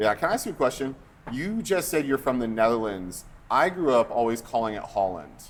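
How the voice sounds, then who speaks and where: Very wide pitch swings at a fairly quick pace, with an American accent. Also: man, medium pitch for a man. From United States. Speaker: pastor, podcast host. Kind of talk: casual chat.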